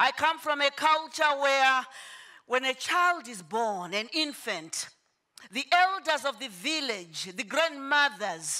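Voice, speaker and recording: A woman's raised, projected voice, high-pitched, bright and sharp in tone, with very wide pitch swings at a very slow pace. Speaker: motivational speaker. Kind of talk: motivational talk.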